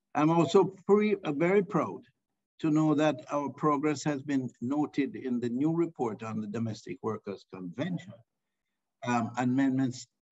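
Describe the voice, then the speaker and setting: A man speaks with lively intonation at a fairly high pitch, with music playing in the background. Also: fairly slow pace. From Jamaica. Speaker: government minister. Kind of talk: formal speech on online panel. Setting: video call. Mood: formal, proud. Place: office. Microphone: video call.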